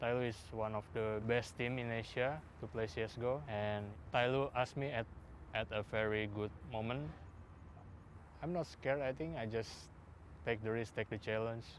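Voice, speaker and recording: Long, frequent pauses break up a man's speech, delivered in an Indonesian accent at a moderate pace. His pitch is medium, with ordinary variation. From Indonesia, Jakarta. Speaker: pro esports player. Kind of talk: interview.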